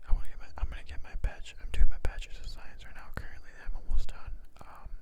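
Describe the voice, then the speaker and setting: Whispering at a very fast pace, a man makes big swings in loudness. There is noticeable background noise. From US Midwest, Chicago. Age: 20s. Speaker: ASMR creator, college student. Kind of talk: ASMR casual monologue. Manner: soft-spoken; hesitant.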